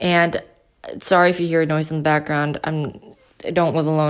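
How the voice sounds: A woman talks at a fairly quick pace. Her pitch is low, and her intonation is fairly even.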